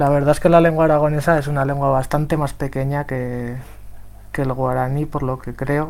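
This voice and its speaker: In a room with audible echo, a man speaks at a moderate pace. His medium-pitched delivery is monotone and flat. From Spain. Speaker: software developer and translator. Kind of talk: round table talk.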